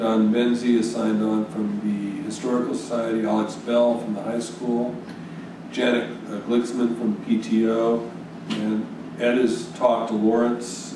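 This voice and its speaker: A man with an American accent speaks fairly slowly at a medium pitch, his intonation monotone and flat. Audible room echo and noticeable background noise surround him. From US Northeast. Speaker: town board member. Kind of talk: public meeting. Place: meeting room.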